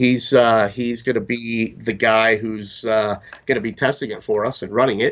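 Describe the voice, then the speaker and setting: Moderate-paced speech from a man, monotone and flat in intonation. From Florida. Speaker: fishing lure company representative; guest. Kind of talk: product interview. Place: office. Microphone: video call.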